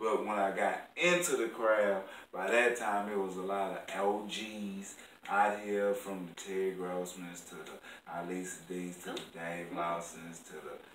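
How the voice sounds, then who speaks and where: A man with a Southern US accent speaks at a fairly slow pace in a fairly low, monotone, flat voice, with big swings in loudness, audible room echo and light background noise. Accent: southern drawl. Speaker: stand-up comedian; interview guest. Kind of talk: casual, slang-heavy. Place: home room. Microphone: camera far.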